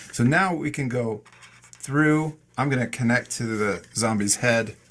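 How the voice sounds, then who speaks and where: Here is a man with a normal speaking voice at medium pitch. He talks at a fairly slow pace with ordinary pitch variation. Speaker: art teacher. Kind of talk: tutorial. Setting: video call. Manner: calm and encouraging.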